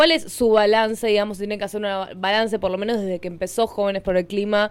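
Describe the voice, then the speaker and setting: A woman is talking at a fairly quick pace. Her voice sits at a medium pitch. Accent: Rioplatense. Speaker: radio host. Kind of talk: radio interview. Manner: halting.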